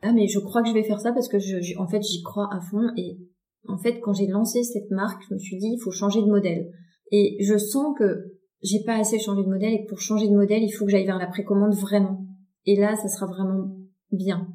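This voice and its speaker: A woman talks at a fairly quick pace in a medium pitch. Her intonation is monotone and flat. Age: 40s. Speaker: fashion designer and brand founder. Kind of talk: interview. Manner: hesitant, many fillers and repetitions.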